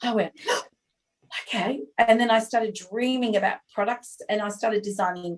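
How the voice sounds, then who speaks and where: With an Australian accent, a woman talks at a moderate pace in a fairly high voice with fairly even intonation. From Australia, Sydney. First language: not English. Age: 50s. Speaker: small business owner, former advertising executive. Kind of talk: podcast interview.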